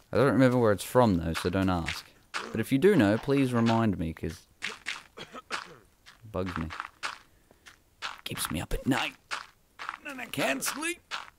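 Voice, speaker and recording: Over noticeable background noise, a man speaks in an animated tone with lively intonation and long, frequent pauses. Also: medium pitch for a man, moderate pace. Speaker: gaming video creator. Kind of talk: casual gameplay commentary. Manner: rambling, animated.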